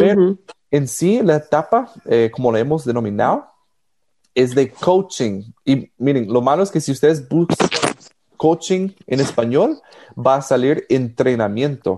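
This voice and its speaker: A man talks at a fairly slow pace, his voice fairly high with lively intonation. The tone is dark and mellow, and the loudness stays very even. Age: 30s. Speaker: podcast co-host. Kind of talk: casual chat. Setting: studio.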